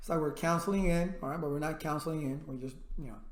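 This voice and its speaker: In a room with audible echo, a man talks at a very fast pace in a high pitch. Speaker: IT instructor. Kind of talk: tutorial. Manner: loud; animated.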